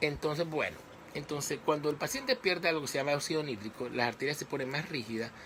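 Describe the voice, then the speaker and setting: A man talks at a fairly quick pace with fairly even intonation and a fairly high pitch. Noticeable background noise can be heard. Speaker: physician giving health talks. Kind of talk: live medical talk to online audience. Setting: live stream on social media page. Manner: fast.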